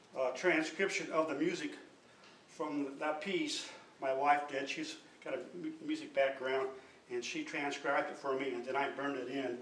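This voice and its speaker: Amid noticeable background noise and audible room echo, a man speaks at a moderate pace in a fairly high voice with monotone, flat intonation. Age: 60s. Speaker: artist. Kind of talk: artist talk about own work.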